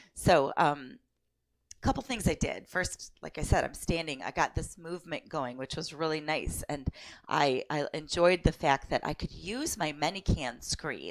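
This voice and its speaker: In a very clean recording with a silent background, a woman speaks at a fairly slow pace. Her pitch is very deep and low, with ordinary pitch variation. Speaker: online English teacher. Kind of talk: casual vlog. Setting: home office. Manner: halting, many fillers.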